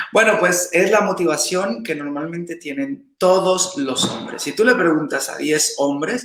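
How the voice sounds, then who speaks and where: Noticeable background noise sits behind a man speaking at a fairly slow pace. His high-pitched voice has lively intonation and an animated tone. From Mexico, Veracruz. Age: 30s. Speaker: salsa dancer and teacher. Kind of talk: interview.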